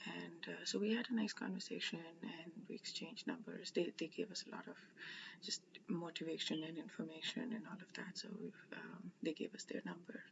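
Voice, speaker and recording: A soft-spoken woman with vocal fry talks at medium pitch and a moderate pace with ordinary pitch variation. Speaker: religious study vlogger. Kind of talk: casual vlog storytelling. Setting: indoors at someone's house. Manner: halting, many fillers.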